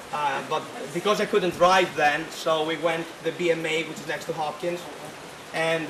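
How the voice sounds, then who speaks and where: A man with a Greek accent talks in a monotone, flat way at a moderate pace. His voice is fairly high, and noticeable background noise is present. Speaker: student club president. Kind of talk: reception speech. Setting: reception at private estate, with audience. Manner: halting, many fillers.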